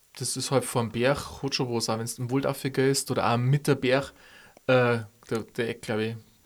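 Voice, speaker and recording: In a monotone, flat delivery, a man at a medium pitch speaks at a moderate pace on a very clean recording with a silent background. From Upper Palatinate, Bavaria. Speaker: podcast co-host. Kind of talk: casual chat.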